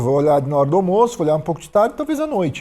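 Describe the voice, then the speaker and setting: The man's tone is dark and mellow. He talks at a very fast pace. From Brazil, Santos (São Paulo state). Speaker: productivity author and entrepreneur. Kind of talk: casual podcast interview. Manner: direct, objective.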